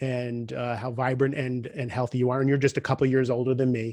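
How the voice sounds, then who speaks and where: The speaker has a plain, everyday voice and talks at a fairly quick pace. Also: man. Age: 50s. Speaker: podcast host and coach. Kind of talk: interview conversation.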